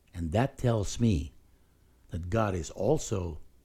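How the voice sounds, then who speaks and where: At a very slow pace, a man speaks with a fairly low pitch and a dark, mellow tone. He sounds somewhat breathy on a very clean recording with a silent background. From Philippines. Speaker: pastor and podcast host. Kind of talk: solo spoken reflection.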